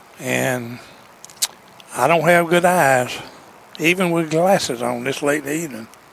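Over noticeable background noise, a man with a Southern US accent and a fairly high pitch speaks with long, frequent pauses. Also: ordinary pitch variation, moderate pace. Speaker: sports broadcaster. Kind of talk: live baseball play-by-play commentary. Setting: outdoors at a baseball park, broadcast on TV. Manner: brisk, steady play-by-play delivery, calling each pitch and count.

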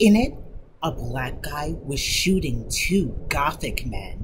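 The clip consists of plain reading aloud.

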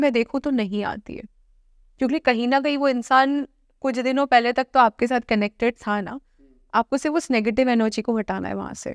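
A woman talks at a moderate pace in a high voice. Her intonation is fairly even, and the sound is dry with no echo over a quiet background. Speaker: dentist and occult practitioner; guest. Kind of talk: interview. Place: studio. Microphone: lapel.

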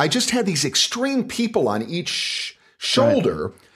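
Pitch swings very widely in this man's speech. His voice has vocal fry. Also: quiet background. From United States. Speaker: voice actor. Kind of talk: interview answer. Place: studio.

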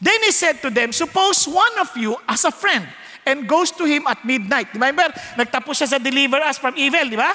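In a Filipino accent, a man speaks with an animated, warm tone, a raised, projected voice and an extremely high pitch. His intonation is lively and his pace fairly quick. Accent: Filipino English, Taglish. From Philippines. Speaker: preacher. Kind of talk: sermon. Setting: church with live audience. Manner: animated, warm and humorous, acting out child and parent voices; conversational Taglish, asks the audience to respond. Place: church. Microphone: headset.

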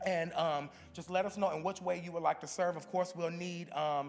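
A man with a high-pitched voice speaks at a moderate pace. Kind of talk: church announcements. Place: church. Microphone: podium.

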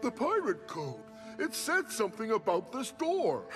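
Over clearly audible background music, a cartoonish character voice speaks at a moderate pace. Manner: curious, then insistent.

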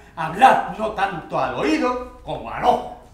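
The speaker's intonation is lively. Audible room echo surrounds the voice. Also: man. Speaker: actor or author giving a reading. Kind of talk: dramatic reading of a monologue. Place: stage. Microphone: camera far.

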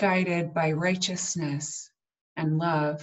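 Against a quiet background, a woman talks in a fairly low pitch. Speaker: minister. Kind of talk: prayer. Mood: solemn, slow, measured. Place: home room. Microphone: webcam.

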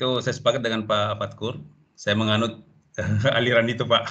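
The man's voice has a bright, sharp tone. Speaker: teacher participant. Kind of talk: discussion comments. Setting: video call. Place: home room. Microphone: video call.

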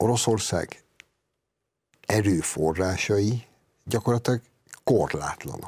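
Very slow male speech with lively intonation over a quiet background. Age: 50s. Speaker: writer and columnist; guest. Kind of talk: TV political discussion. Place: studio. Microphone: lapel.

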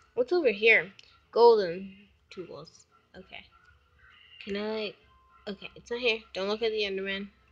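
Music plays in the background as a woman speaks with normal pitch movement. Her voice is fairly high. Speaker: gaming YouTuber. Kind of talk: gameplay commentary. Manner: quiet.

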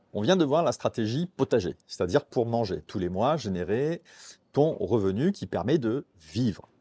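A man with a dark, mellow tone makes very wide pitch swings at a moderate pace against a quiet background. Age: 50s. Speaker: personal finance youtuber. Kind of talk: tutorial. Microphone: lapel.

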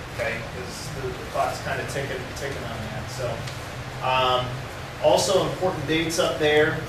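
Room echo is audible. Loud background noise is present. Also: moderate pace. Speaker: graduate program faculty member. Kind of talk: announcements to students. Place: classroom. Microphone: camera far.

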